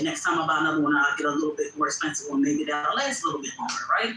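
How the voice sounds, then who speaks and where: There's noticeable noise in the background. Over it, a woman rattles along very quickly. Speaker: content creator. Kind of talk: livestream chat. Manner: loud; animated.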